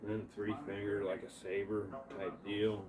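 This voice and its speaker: In an Appalachian accent, a man with a fairly low pitch talks at a moderate pace in a relaxed tone with fairly even intonation. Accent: Appalachian, noticeable. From Appalachia, US. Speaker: martial arts practitioner. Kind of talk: casual tutorial demonstration. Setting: at home indoors. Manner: relaxed, halting with repetitions.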